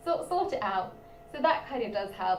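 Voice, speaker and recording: There is audible room echo and noticeable background noise. Through it, a woman speaks with a British accent. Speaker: trainee teacher and video creator. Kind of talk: live stream Q&A chat. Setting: live stream.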